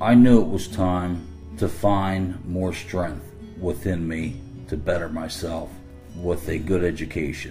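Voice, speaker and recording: Very deep, low male voice with a Philadelphia accent, fairly slow pace, music in the background. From Philadelphia, Pennsylvania. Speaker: adult learner. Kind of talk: personal digital story narration.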